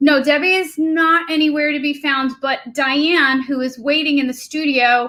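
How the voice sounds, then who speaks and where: A woman with an American accent uses a raised, projected, high-pitched voice with a bright, sharp tone, fairly even intonation and hardly any pauses. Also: moderate pace. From New York. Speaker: livestream co-host. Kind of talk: casual chat. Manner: loud when yelling.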